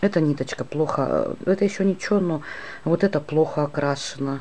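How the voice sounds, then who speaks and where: Ordinary pitch variation with noticeable background noise. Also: woman. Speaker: crochet teacher. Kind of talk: tutorial. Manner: slow.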